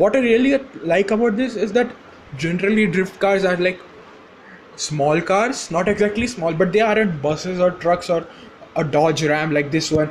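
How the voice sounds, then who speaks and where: A man with an Indian accent speaks at a moderate pace in a high pitch, with ordinary pitch variation and very even loudness. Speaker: gaming YouTuber. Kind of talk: casual game commentary. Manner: halting, many fillers.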